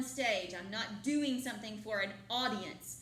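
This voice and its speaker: Loud and high-pitched, a woman talks at a moderate pace with fairly even intonation over noticeable background noise. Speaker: drama teacher. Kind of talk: classroom lecture. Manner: loud, projecting.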